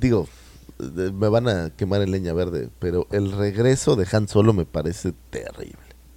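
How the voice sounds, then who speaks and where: A man speaks at a fairly slow pace in a fairly low pitch, with a dark, mellow tone and ordinary pitch variation. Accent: Mexican. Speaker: podcast co-host. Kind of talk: casual chat.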